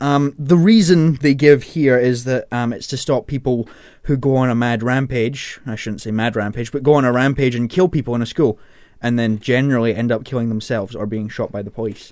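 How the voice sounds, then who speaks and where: This man has an unremarkable speaking voice at a medium pitch. He speaks at a fairly quick pace with ordinary pitch variation. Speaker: radio presenter. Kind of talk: radio DJ patter, casual on-air banter with co-hosts, introducing songs and the panel. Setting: radio studio. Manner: chatty and self-correcting, stumbles and laughs at his own slips, easygoing and jokey; informal, rambling asides, teasing co-hosts.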